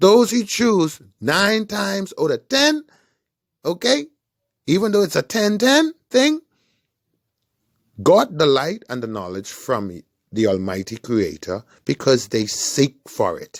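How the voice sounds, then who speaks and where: A man with a Bahamian accent speaks in an animated tone at a fairly slow pace. Long, frequent pauses break up his speech. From Bahamas. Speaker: online commentator. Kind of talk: monologue.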